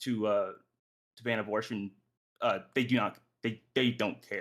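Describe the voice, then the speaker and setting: This man speaks with fairly even intonation. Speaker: podcast host leading discussion. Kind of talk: group debate discussion. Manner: halting, self-correcting.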